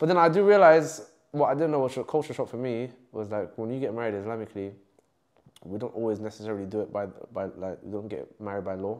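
A man with a London accent talks very fast, his intonation lively and his loudness swinging widely. He leaves long pauses often. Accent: London multicultural English. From West London. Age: 20s. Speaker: content creator. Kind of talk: casual interview. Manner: animated.

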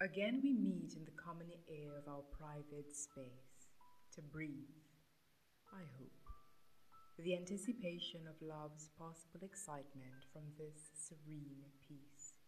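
The speaker goes at a fairly slow pace with ordinary pitch variation over light background noise. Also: woman, very deep, low pitch for a woman. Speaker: poetry reciter. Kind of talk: poetry reading. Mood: tender, romantic, expressive. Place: home room. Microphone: studio mic.

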